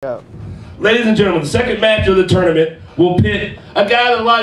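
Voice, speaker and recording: High-pitched man with ordinary pitch variation, music in the background and audible room echo. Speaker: wrestling ring announcer. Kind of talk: wrestling promo, hyping a tournament match. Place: studio.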